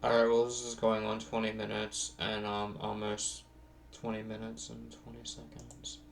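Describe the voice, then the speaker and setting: A man at medium pitch with an American accent, fairly slow pace and audible room echo. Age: 20s. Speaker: vlogger. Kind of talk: casual monologue vlog. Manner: halting, many fillers.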